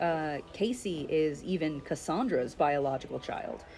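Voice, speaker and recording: Music plays in the background as a woman with a fairly low voice talks at a fairly slow pace. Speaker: streamer and fan artist. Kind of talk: casual chat. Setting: live stream while drawing. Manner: halting, many fillers.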